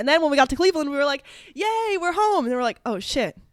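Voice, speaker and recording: Ordinary pitch variation from a woman, very clean recording, silent background. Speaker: podcast co-host. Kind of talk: casual chat. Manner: fast.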